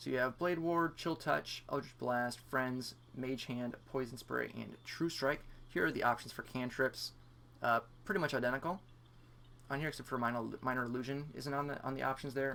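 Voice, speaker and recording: A man's medium-pitched voice, bright and sharp in tone, fairly quick, with ordinary pitch variation. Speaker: gaming youtuber. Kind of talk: gameplay tutorial commentary. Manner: fast.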